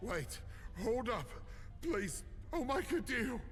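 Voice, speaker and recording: Over clear background noise, someone performs a put-on character voice at a fairly slow pace. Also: man, extremely high pitch for a man. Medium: video game.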